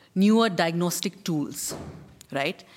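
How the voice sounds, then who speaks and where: Somewhat breathy, a woman is speaking. Her intonation is lively. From India. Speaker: TB survivor and health advocate. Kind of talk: testimony and advocacy speech. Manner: animated.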